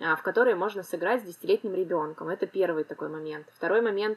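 At a fairly quick pace, a woman talks in a normal speaking voice with a medium pitch. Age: 30s. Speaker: financial literacy expert, podcast co-host. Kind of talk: casual chat.

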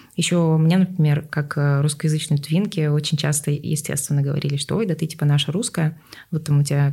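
A woman with a very deep, low voice speaks at a fairly quick pace, somewhat breathy and dark, mellow in tone, with fairly even intonation. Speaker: podcast host. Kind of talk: casual interview chat.

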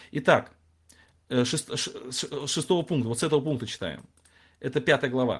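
Somewhat breathy, a man speaks at a fairly high pitch and a fairly slow pace, with long, frequent pauses. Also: ordinary pitch variation. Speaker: Bible teacher. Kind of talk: lecture. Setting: livestream. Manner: halting.

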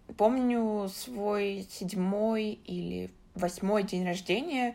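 A woman is speaking. Her voice sits at medium pitch. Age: 20s. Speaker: journalist and podcast producer. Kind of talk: recorded personal story.

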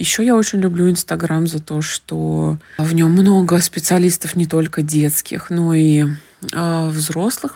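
A woman's very deep, low voice, dark and mellow, at a very slow pace. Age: 30s. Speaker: mother on maternity leave. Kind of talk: recorded listener comment. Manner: hesitant, with filler sounds.

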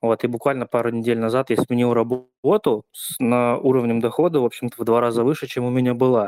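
A man speaks fairly quickly in a flat, monotone delivery at a medium pitch. The sound is dry and close, with no echo. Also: very clean recording, silent background. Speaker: frequent participant. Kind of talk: testimony.

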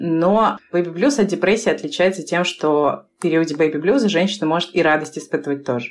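A woman with an unremarkable speaking voice, a fairly low pitch and a moderate pace. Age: 30s. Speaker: author and co-founder of a maternal mental health project. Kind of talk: casual chat.

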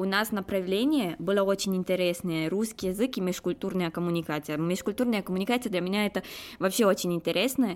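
On a very clean recording with a silent background, a woman speaks with a Romanian accent. Her pitch is medium, with ordinary pitch variation. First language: Romanian (speaking Russian). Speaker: postgraduate student. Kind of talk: interview. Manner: halting.

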